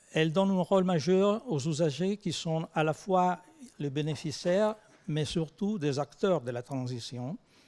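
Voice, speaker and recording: A man speaks with an Italian accent. His pitch sits fairly high for a man and varies in an ordinary way. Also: fairly slow pace. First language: Italian (speaking French). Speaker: research organisation president. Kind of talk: conference talk. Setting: conference with audience.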